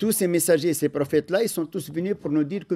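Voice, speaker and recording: A man with a dark, mellow tone is speaking. The recording is very clean, with a silent background. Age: 60s. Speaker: imam. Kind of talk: religious lecture.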